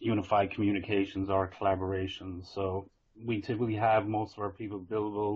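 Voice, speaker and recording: A man with an Irish accent speaks fairly quickly in a fairly low, somewhat breathy voice with flat, monotone intonation. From Ireland. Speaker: IT consultant presenting a vendor webinar. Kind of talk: business webinar presentation. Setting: working from home, online webinar.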